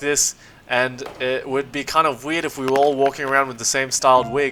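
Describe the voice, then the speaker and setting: Music plays in the background as the speaker goes along at a moderate pace. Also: man. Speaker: cosplayer. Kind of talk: tutorial voice-over. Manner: casual, rambling.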